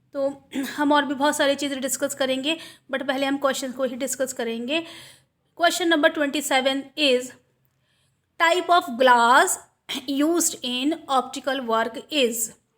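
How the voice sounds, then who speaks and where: On a very clean recording with a silent background, a woman with a high pitch speaks at a fairly slow pace, her intonation fairly even, with long, frequent pauses. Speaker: online exam tutor. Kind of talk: tutorial.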